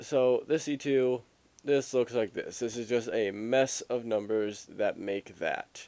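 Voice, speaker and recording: At a very slow pace, a man speaks with a dark, mellow tone at a medium pitch, his pitch varying in an ordinary way. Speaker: game tutorial youtuber. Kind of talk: tutorial. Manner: halting, self-interrupting.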